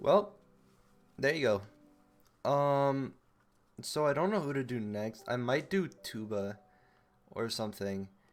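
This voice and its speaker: Music plays in the background as a man speaks fairly slowly in a medium pitch. His intonation is lively, with long, frequent pauses. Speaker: esports video analyst. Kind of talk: video commentary review. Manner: casual, filler-heavy.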